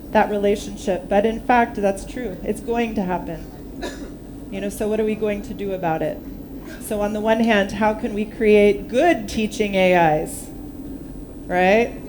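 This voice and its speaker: A woman with an American accent and a fairly high pitch, speaking at a fairly slow pace with long, frequent pauses, amid audible room echo and noticeable background noise. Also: ordinary pitch variation. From United States. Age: 50s. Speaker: workshop speaker on ethics. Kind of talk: workshop talk with discussion. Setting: workshop in hotel with live audience.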